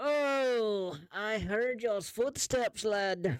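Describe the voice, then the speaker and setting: A female-sounding, put-on character voice, fairly high in pitch, speaks very slowly. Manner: groggy, just woken.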